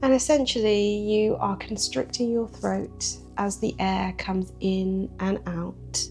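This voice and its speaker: Music plays in the background as a woman speaks in a calm tone at a very slow pace, with hardly any pauses. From British. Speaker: yoga teacher. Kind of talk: guided yoga breathwork instruction. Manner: calm, soft-spoken.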